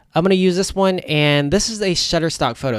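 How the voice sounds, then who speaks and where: Talking at a very fast pace, a man gets his words out. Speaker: web design tutorial creator. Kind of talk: tutorial. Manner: casual, conversational.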